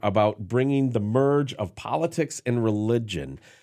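This man talks at a moderate pace in a medium pitch, with ordinary pitch variation and an unremarkable speaking voice. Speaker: radio host. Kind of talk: casual chat.

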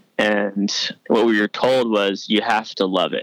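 A man speaks with an American accent at a fairly slow pace. The sound is dry and close, with no echo. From New York. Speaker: sports reporter. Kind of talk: casual interview.

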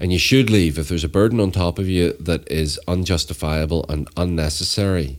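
Speaking in a Northern Irish accent, a man talks at a fairly quick pace with hardly any pauses, his voice very deep and low with ordinary pitch variation. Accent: Northern Irish (Belfast). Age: 40s. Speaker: storyteller and violence reduction activist. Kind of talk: casual chat.

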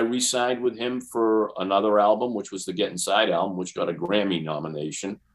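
A man with an unremarkable speaking voice and a fairly low pitch speaks at a fairly quick pace with ordinary pitch variation against a quiet background. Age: 60s. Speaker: guitarist. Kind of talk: casual interview.

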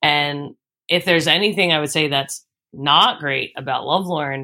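A woman with a Philadelphia accent speaks in a very deep, low voice with a bright, sharp tone, ordinary pitch variation and a moderate pace, in a very clean recording with a silent background. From Philadelphia, Northeast Philly. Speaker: musician. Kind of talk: casual interview.

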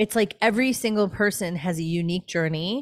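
On a very clean recording with a silent background, a woman with an unremarkable speaking voice talks at a fairly quick pace in a fairly low pitch, with ordinary pitch variation. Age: 40s. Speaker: spiritual teacher. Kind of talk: casual chat.

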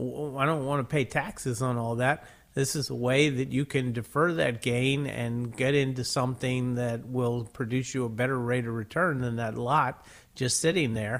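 A man speaks in a normal speaking voice, keeping a moderate pace, a medium pitch and fairly even intonation. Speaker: financial radio show host. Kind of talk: call-in radio advice show. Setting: radio studio.

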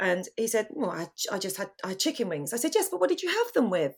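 A woman talks at a fairly quick pace with very wide pitch swings. The recording is very clean, with a silent background. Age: 40s. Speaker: photographer and podcast co-host. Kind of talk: casual chat.

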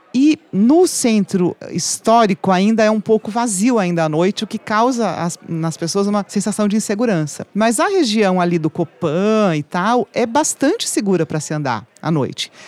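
A woman with a normal speaking voice at medium pitch, moderate pace and lively intonation, hardly any pauses, the sound dry and close with no echo. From Brazil, interior of São Paulo state. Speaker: journalist, website founder. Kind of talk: casual chat. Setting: studio.

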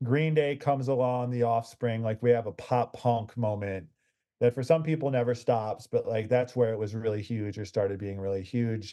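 A man's dark, mellow tone at medium pitch, with an American accent, ordinary pitch variation and a moderate pace, over a quiet background. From US Midwest. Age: 40s. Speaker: music critic and author. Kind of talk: interview.

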